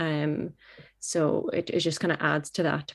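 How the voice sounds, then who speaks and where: On a very clean recording with a silent background, a woman with a Canadian accent speaks in a very deep, low, flat monotone. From Canada. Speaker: football goalkeeper. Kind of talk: interview. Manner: halting, many fillers.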